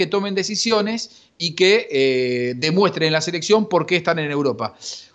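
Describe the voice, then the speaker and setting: Lively intonation marks this man's delivery, which moves along at a medium speed. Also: quiet background. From Argentina, Buenos Aires western suburbs. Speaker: sports journalist. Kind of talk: casual chat.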